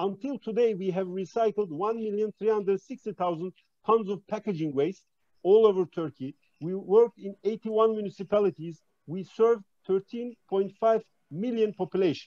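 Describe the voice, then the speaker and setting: A man's high-pitched voice with a dark, mellow tone, ordinary pitch variation, and a dry, close sound free of echo. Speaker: plastics industry representative. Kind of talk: conference presentation. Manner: fast; hesitant with fillers.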